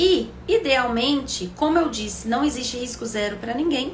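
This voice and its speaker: A woman's high voice at a moderate pace, with audible room echo and noticeable background noise. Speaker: obstetrician-gynecologist. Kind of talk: live stream Q&A health talk. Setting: live stream.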